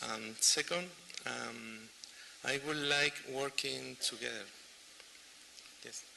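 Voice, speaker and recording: A man speaks at a very slow pace, with long, frequent pauses. Noticeable background noise runs under his voice. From Chile. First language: Spanish. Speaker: audience member asking question. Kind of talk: audience question. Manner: halting.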